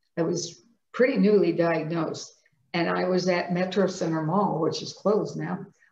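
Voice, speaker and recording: Here a woman speaks with fairly low pitch and fairly even intonation. Her pace is moderate, and it's a normal speaking voice. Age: 60s. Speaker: person living with multiple sclerosis. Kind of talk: interview answer.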